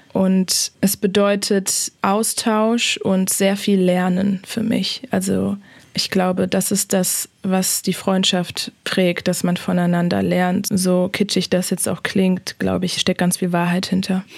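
A woman speaks at a very slow pace. Her loudness stays very even, and her intonation is monotone and flat. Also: medium pitch for a woman. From Germany. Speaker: human rights lawyer. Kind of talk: interview. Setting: remote call.

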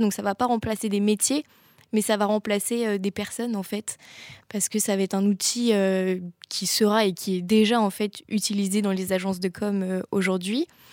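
At a moderate pace, a woman talks in a medium pitch with a monotone, flat delivery. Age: young. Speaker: communications student. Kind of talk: interview; hosting a talk.

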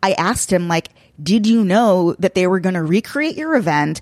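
An American-accented woman with an ordinary speaking voice talks at a fairly quick pace and medium pitch, her intonation lively and the sound dry and close with no echo. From Long Island, New York. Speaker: podcast host. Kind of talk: casual chat.

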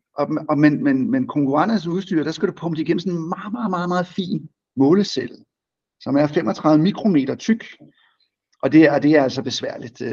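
With a dark, mellow tone, a man speaks at a moderate pace, his pitch fairly high and his intonation lively. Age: 50s. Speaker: company chief executive. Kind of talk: business interview.

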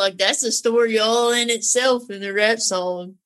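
A woman speaks with a Southern accent. Her fairly high voice keeps a fairly even intonation. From North Carolina. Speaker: singer and horse trainer. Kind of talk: casual chat.

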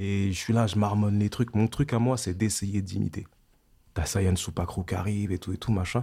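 A man's fairly low, somewhat breathy voice with a dark, mellow tone, fairly even intonation and a moderate pace. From France, Val-d'Oise (Paris suburbs), Antillean family. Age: 30s. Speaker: rapper. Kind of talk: interview. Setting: studio.

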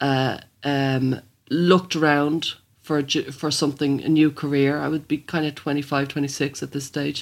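The speech has a Dublin accent and a moderate pace. The recording is very clean, with a silent background. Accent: Dublin Irish. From Ireland, Dublin (Blanchardstown). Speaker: psychotherapist and author. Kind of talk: interview.

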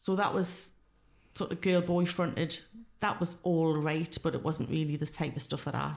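Vocal fry runs through a moderate-paced delivery with monotone, flat intonation. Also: woman. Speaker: former club singer, ex-tax worker. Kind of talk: casual interview.

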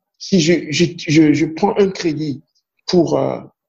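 A man with a Beninese accent speaks at a high pitch. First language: Fon (speaking French). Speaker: banker. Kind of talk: interview. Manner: halting with frequent repetitions.

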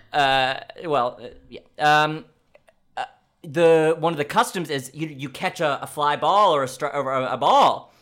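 Speaking at a fairly slow pace with an American accent, a man has an ordinary speaking voice, a fairly high pitch and ordinary pitch variation. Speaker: podcast host. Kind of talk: comedic interview chat. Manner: joking, rambling, comedic.

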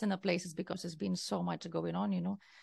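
Over a quiet background, a woman with a Lithuanian accent speaks with ordinary pitch variation and vocal fry. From Lithuania, Kaunas. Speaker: wellness and mindset coach, entrepreneur. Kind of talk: interview.

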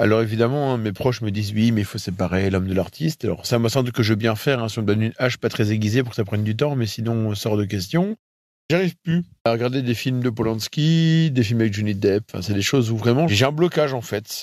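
Over a silent background in a very clean recording, a man speaks very fast at medium pitch with ordinary pitch variation. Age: 30s. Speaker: testimony contributor. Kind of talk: testimony. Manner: halting.

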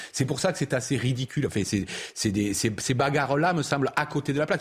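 A somewhat breathy man's voice with a southern French accent and lively intonation, on a very clean recording with a silent background. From Provence, southern France. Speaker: political commentator. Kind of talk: panel discussion.

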